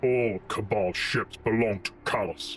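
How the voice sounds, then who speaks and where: A man growls in a put-on character voice at a fairly low pitch and a fairly slow pace, with clear background noise behind him. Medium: audio drama. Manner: growling, terse.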